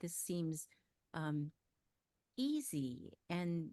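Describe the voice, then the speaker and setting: A woman speaks at a very deep, low pitch. Her tone is dark and mellow. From US West, Los Angeles. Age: 60s. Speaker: ghostwriter. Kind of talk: interview.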